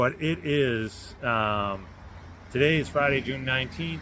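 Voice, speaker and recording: The voice has a bright, sharp tone and an American accent. Its pitch varies in an ordinary way. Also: man. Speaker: car builder vlogger. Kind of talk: casual vlog announcement. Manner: halting with many fillers.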